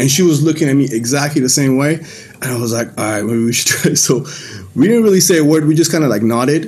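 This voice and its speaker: Music playing behind a man's voice, plus audible room echo. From Iran, Mashhad (moved away around age 10). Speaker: church member giving testimony. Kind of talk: testimony. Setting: video call.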